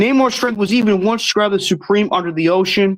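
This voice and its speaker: The speaker moves at a fairly quick pace against a quiet background. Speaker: online show host. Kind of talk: live stream commentary, reading facts to chat. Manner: fast.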